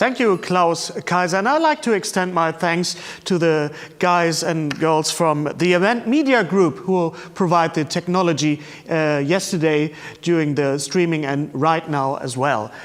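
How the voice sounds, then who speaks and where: Fairly slow speech with ordinary pitch variation, in a German accent. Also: man, high pitch for a man. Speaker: event host. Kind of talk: live event hosting. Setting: live stream.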